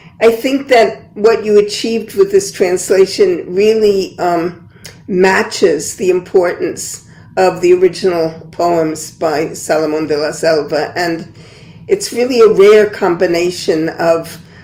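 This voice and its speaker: Noticeable background noise runs under this woman's voice. She speaks at a fairly slow pace with a medium pitch and ordinary pitch variation. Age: 80s+. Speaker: poet and translator. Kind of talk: panel discussion.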